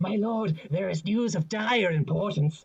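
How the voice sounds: This is a put-on character voice at a middle pitch. It sounds raspy. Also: moderate pace.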